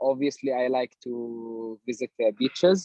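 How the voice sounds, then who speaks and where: A man speaks very slowly in an Arabic accent, with a dark, mellow tone and ordinary pitch variation. The sound is dry and close, with no echo. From Palestine. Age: 20s. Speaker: project manager. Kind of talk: research interview. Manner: halting, many repetitions.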